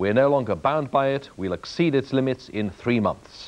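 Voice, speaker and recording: In a British accent, a man at medium pitch talks at a fairly quick pace with a serious tone. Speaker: news presenter. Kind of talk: TV news headlines read in a grave, authoritative tone. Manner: serious, steady and formal.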